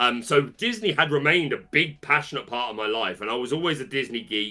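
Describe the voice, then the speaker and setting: A man speaks in a British accent with a fairly high pitch, a bright, sharp tone and lively intonation. The recording is very clean, with a silent background. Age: 30s. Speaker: trading card game content creator and musical theatre performer. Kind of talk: interview. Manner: halting.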